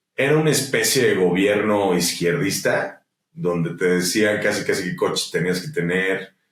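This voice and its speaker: The pace is fairly slow. The intonation is lively. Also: man, fairly low pitch for a man. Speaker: musician and entrepreneur. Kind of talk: interview conversation. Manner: animated.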